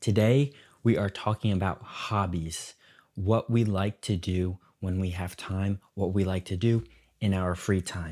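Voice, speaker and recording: With an American accent, a man speaks at a fairly slow pace in a fairly low pitch and a dark, mellow tone, the sound dry and close with no echo. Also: fairly even intonation. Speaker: English teacher podcaster. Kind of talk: slow educational podcast talk. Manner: slow, clear.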